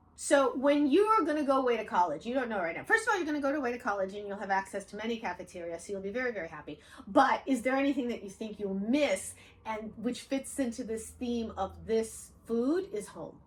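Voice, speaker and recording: At a very fast pace, a woman speaks in an animated tone with lively intonation and big swings in loudness over noticeable background noise. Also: fairly high pitch for a woman. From Odessa, Ukraine (USSR). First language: Russian. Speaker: author and channel host. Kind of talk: casual chat with her daughter.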